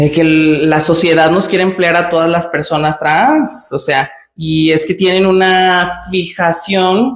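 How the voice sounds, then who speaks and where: Someone with a Mexican accent speaks at a fairly slow pace. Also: woman. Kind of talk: casual vlog monologue. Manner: natural, hesitant with fillers.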